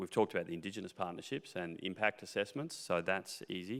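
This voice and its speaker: With an Australian accent, a bright, sharp tone moves at a fairly quick pace with ordinary pitch variation. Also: man. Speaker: mining company executive. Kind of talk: panel interview.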